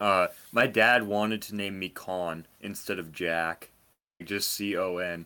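Bright and sharp in tone, a man's fairly low voice carries ordinary pitch variation. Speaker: podcast host. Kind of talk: casual banter podcast.

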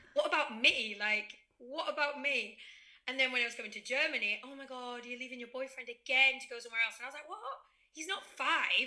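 A woman uses a raised, projected voice at a high pitch. She talks at a fairly quick pace with big swings in loudness. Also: ordinary pitch variation. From Spain (raised there, English-born). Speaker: podcast guest. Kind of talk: casual chat.

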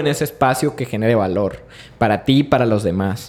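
With very wide pitch swings, a man speaks at a fairly quick pace. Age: 30s. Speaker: documentary director. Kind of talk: interview conversation. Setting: studio.

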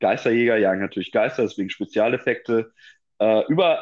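A man's voice at medium pitch. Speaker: film podcast host. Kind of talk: casual chat. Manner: halting, many filler sounds.

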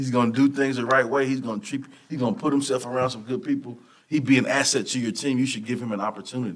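Speaking at a very fast pace, a man with a Texan accent has a medium pitch. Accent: Texan Southern US. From Texas. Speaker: motivational speaker and football coach. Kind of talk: casual interview. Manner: animated.

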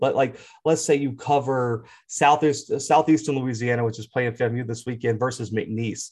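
In a very clean recording with a silent background, a man speaks with an American accent. His voice is somewhat breathy, medium in pitch, with fairly even intonation. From US South, Mobile, Alabama. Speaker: college football YouTube analyst. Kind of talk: casual sports talk.

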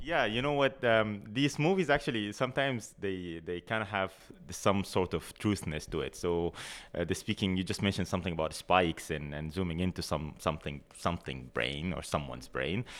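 A man's very deep, low voice with vocal fry, very wide pitch swings and a fairly quick pace, on a very clean recording with a silent background. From Sudan. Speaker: neuroscience PhD student. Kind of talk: interview.

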